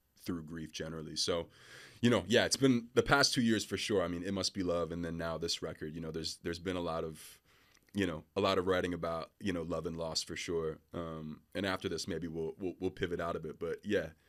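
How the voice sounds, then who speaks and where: A man with an American accent and a very deep, low pitch, fairly quick, with fairly even intonation, on a very clean recording with a silent background. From Philadelphia, US. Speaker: R&B singer. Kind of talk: interview. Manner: hesitant, many fillers.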